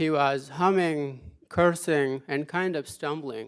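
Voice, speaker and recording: A man with a fairly high pitch talks at a very slow pace, his pitch varying in an ordinary way. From Afghanistan. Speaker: former army interpreter, speaker. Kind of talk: lecture. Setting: auditorium with audience. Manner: halting, many fillers.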